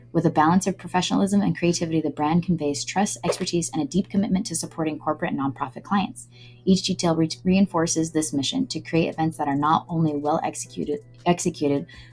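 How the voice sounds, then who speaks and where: A woman with a very deep, low pitch talks at a very fast pace with ordinary pitch variation while music plays in the background. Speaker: brand designer. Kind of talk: client presentation walkthrough. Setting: recorded screen-share video.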